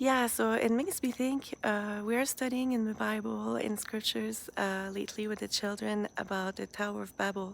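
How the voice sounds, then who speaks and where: A woman with a strong French accent speaks at a moderate pace. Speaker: religious live streamer. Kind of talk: casual live stream commentary. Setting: outdoors in backyard at night. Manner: hesitant, many fillers.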